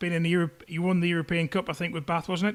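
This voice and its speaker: A man speaks at a high pitch with a Teesside accent. The recording is very clean, with a silent background. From northern England, Teesside. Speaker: podcast host. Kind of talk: interview.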